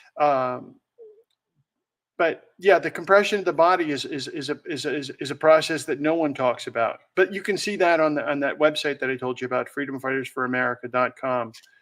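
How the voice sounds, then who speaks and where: Recorded very cleanly against a silent background, a man with a fairly high voice speaks at a fairly quick pace with ordinary pitch variation. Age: 60s. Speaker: whistleblower. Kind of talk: interview. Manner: halting.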